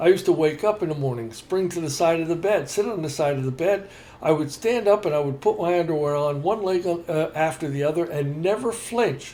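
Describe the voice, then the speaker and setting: A man's high-pitched voice at a fairly quick pace, hardly any pauses, over noticeable background noise. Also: ordinary pitch variation. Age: 70s. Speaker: podcast co-host. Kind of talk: casual chat. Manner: halting.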